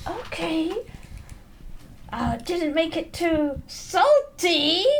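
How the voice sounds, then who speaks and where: In a put-on character voice, someone speaks very slowly at an extremely high pitch, sounding strained over clear background noise. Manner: through gritted teeth, strained.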